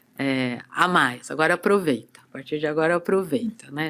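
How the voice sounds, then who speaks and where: Ordinary pitch variation runs through a plain, everyday voice that holds a moderate pace. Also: woman. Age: 60s. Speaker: movement and body-awareness teacher. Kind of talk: casual interview chat.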